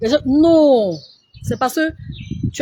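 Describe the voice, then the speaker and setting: A woman's voice with very wide pitch swings amid noticeable background noise. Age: 40s. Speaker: beauty influencer. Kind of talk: live stream tutorial. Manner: slow with pauses.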